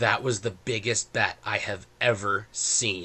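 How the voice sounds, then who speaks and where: Using a put-on character voice, a man talks in a raspy tone at a fairly slow pace. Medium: actual play.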